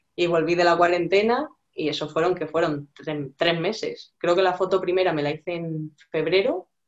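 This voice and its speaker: A woman with an unremarkable speaking voice, fairly low in pitch, at a moderate pace and with fairly even intonation. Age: 20s. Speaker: fitness client. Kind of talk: casual chat.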